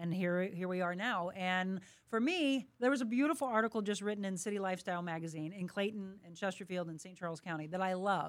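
A woman's plain, everyday voice with an American accent, medium in pitch, fairly quick, with ordinary pitch variation. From St. Louis, Missouri (Florissant). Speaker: TV and radio host, fitness trainer. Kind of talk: interview. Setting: studio.

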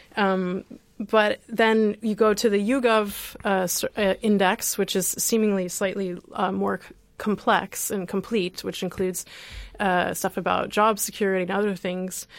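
A woman speaks with an American accent at medium pitch. Her pace is fairly slow and her intonation monotone and flat. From US Midwest. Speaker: radio host, co-founder of a repair project. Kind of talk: radio talk show, casual chat. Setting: radio studio.

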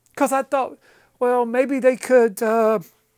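A man talks with a Southern US accent. His pace is moderate. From eastern North Carolina. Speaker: actor. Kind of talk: casual chat. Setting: studio.

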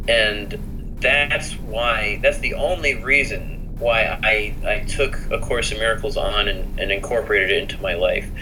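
With an American accent, a man speaks at a fairly slow pace with hardly any pauses, amid noticeable background noise and audible room echo. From US South (south Florida). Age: 20s. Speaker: spiritual seeker. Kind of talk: interview. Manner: halting.

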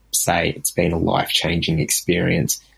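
A very deep, low-pitched male voice in an Australian accent. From Sydney, Australia. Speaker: listener. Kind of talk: voicemail.

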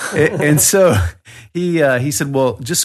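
Over a quiet background, a man speaks with a Southern US accent. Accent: Southern US, noticeable. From Birmingham, Alabama, US South. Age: 40s. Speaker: tour company owner. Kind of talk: casual interview chat.

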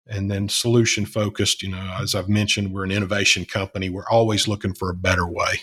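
Here a man with a Southern US accent speaks at a fairly low pitch. The recording is very clean and the background silent. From Alabama. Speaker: company CEO. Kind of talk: casual interview.

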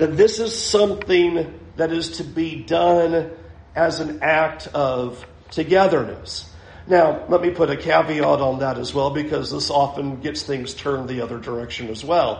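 Through audible room echo, a man with vocal fry speaks fairly slowly at a fairly high pitch. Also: ordinary pitch variation. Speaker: preacher. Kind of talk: sermon.

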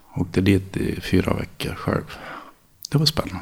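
A man talks at a fairly slow pace in a fairly low pitch. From Dalarna, Sweden (childhood in San Francisco until 13). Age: 40s. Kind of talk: interview.

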